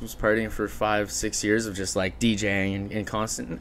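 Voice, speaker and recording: A man speaks with a Canadian accent at a fairly low pitch and fairly even intonation. His is an unremarkable speaking voice. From Ontario, Canada (Chatham, London). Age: 20s. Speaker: marketing business founder. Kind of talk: podcast interview. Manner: casual, filler-heavy.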